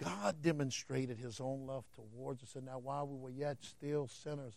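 With a Southern US accent, a man talks at a fairly slow pace. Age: 50s. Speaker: preacher. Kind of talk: sermon. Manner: animated.

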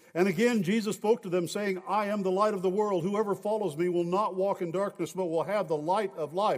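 At a moderate pace, a man talks with a high pitch and fairly even intonation. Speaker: pastor. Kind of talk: sermon; church announcements. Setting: church.

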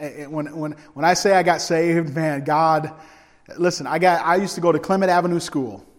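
There is audible room echo as a man with a fairly high pitch speaks at a moderate pace with fairly even intonation. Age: 40s. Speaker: evangelist preacher. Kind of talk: sermon.

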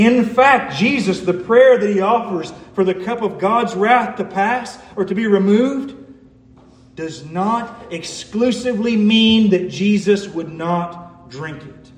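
Speaking at a very slow pace, a man has a high pitch and big swings in loudness. Noticeable background noise runs underneath. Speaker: preacher giving a sermon. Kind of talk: formal sermon, scripture exposition. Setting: church service.

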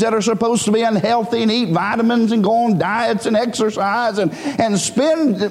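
Noticeable background noise mixed with audible room echo. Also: man. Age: 30s. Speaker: preacher. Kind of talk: sermon. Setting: church. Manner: halting.

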